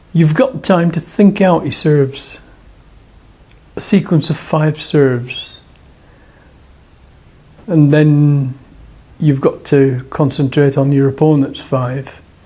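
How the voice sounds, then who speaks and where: Speaking very slowly with long, frequent pauses, a man keeps a fairly high pitch and fairly even intonation. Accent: Lancashire. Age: 70s. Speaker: table tennis player and club secretary; former RAF serviceman. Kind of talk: interview answer.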